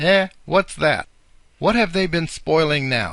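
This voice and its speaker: Speaking fairly slowly, a man uses a put-on character voice set fairly high in pitch. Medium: read story. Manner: scolding, sharp.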